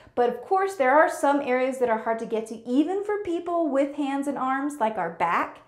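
A woman's voice rises and falls across a very wide pitch range, with a quiet background and audible room echo. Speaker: home tour host. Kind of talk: casual tutorial vlog. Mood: upbeat and grateful. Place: bathroom.

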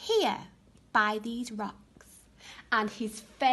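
Here someone is reading aloud in a natural voice.

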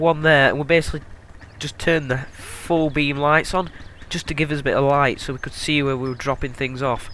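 A man with a Yorkshire accent, fairly high in pitch, at a fairly quick pace, flat and monotone in intonation, with a bright, sharp tone. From Yorkshire, northern England. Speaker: gaming video creator. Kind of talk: let's play commentary. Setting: recording at home at night. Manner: casual, with many fillers.

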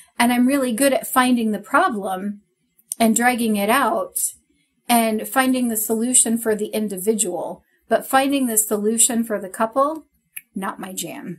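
Her fairly high voice sounds animated, and this woman's loudness swings in big ways. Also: ordinary pitch variation, moderate pace. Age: 40s. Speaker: podcast co-host. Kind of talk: casual chat. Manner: animated, laughs often.

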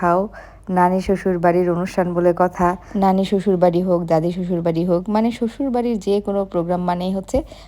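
A woman's voice of medium pitch, dark and mellow in tone, with fairly even intonation. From Bangladesh, Dhaka. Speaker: lifestyle vlogger. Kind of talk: vlog narration.

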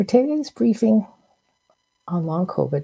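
A woman's vocal fry at a moderate pace over a quiet background. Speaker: physician host. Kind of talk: formal briefing introduction. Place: home room.

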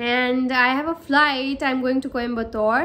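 At a moderate pace, a woman speaks with a bright, sharp tone and monotone, flat intonation. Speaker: cabin crew vlogger. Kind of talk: casual vlog chat. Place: home room. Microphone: phone near.

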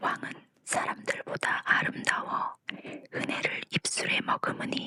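A woman whispers at a very slow pace. Her tone is calm and gentle. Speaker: Bible reader, ASMR narrator. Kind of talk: Bible reading for sleep, ASMR audiobook. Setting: studio with condenser microphone. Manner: calm, gentle, soft.

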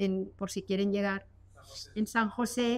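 A woman speaks in a plain, everyday voice at a moderate pace, with fairly even intonation. The background is quiet. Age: 60s. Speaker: physician giving a talk. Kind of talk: lecture. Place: hall. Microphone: studio mic.

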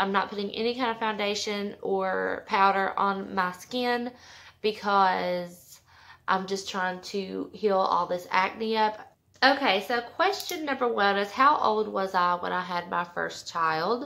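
Ordinary pitch variation marks a woman's speech at a fairly slow pace. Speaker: mom vlogger. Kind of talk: casual vlog chat. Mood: relaxed, chatty. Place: home room. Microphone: phone near.

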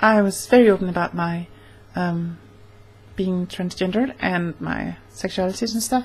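Ordinary pitch movement and a moderate tempo in a woman's somewhat breathy voice. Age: 20s. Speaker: vlogger. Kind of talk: casual vlog monologue. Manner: halting, many fillers. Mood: warm, earnest. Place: home room. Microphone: webcam.

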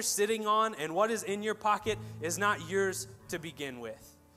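Faint music plays in the background as a man speaks in a raised, projected voice with ordinary pitch variation. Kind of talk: church announcements and offering talk, then prayer. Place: church.

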